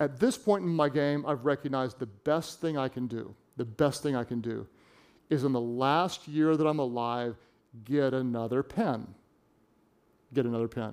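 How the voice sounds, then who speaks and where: On a very clean recording with a silent background, a medium-pitched man speaks at a moderate pace with ordinary pitch variation and long, frequent pauses. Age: 50s. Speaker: pastor and author. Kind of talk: sermon. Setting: church stage with audience.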